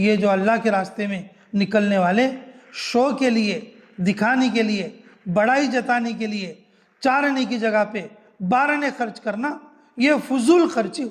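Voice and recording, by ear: A man with a high voice speaks at a fairly slow pace with few pauses and ordinary pitch variation.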